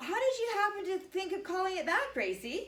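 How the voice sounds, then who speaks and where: A woman puts on a squeaky character voice at an extremely high pitch. She talks fairly quickly, with a slight echo. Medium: stage play.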